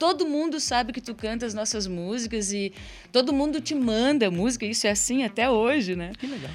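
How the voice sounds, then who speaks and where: Speaking in a plain, everyday voice, a woman moves at a fairly quick pace with lively intonation and a fairly high pitch. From Curitiba, Brazil. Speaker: singer and songwriter. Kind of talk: live radio interview. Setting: radio studio.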